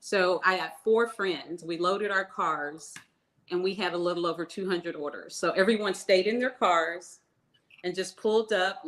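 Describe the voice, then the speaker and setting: A woman speaks at medium pitch with fairly even intonation. She has a plain, everyday voice. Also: moderate pace. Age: 60s. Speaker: small business owner, baker. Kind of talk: interview.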